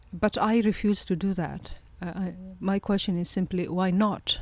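Somewhat breathy and at a medium pitch, a woman speaks at a fairly slow pace with fairly even intonation on a very clean recording with a silent background. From Kenya, Somali family. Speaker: presidential candidate and graduate student. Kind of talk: interview. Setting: studio.

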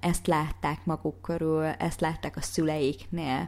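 The woman talks at a fairly slow pace. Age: 30s. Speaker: fitness coach and podcaster. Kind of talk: motivational monologue.

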